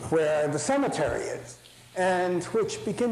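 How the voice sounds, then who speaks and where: Recorded with audible room echo, a man with an American accent speaks in a high pitch. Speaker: architecture professor. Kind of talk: lecture. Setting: lecture hall with audience. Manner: animated.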